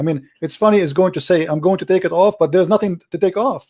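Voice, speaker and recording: Talking at a very fast pace, a man with a non-native accent has a high pitch and a dark, mellow tone. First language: not English. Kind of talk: heated debate. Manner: animated.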